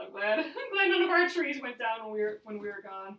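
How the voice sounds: The speaker talks at a fairly quick pace with big pitch swings, and room echo is audible. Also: woman, fairly high pitch for a woman.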